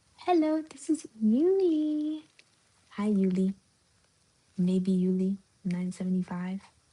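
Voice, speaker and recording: Speaking quietly at a very slow pace, a woman with a medium-pitched, somewhat breathy voice and a dark, mellow tone swings very widely in pitch, leaving long, frequent pauses. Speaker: livestreamer. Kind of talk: casual chat. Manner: quiet, hushed.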